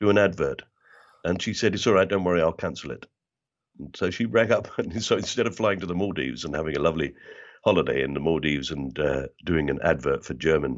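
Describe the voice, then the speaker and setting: A man's very deep, low voice at a very fast pace, with vocal fry and lively intonation. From South London (Bermondsey). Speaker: actor and comedian. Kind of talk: interview conversation. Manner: tends to mimic the accent of whoever he talks to.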